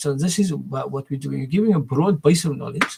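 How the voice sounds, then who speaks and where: A man speaks here. His pitch sits fairly high. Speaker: educator and school founder. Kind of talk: video monologue. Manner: fast; halting, many repetitions and fillers.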